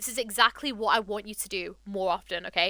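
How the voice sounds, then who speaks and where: The speaker is a woman. Noticeable background noise runs behind her voice. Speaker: Overwatch coach streamer. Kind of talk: VOD review commentary. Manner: casual, filler-heavy.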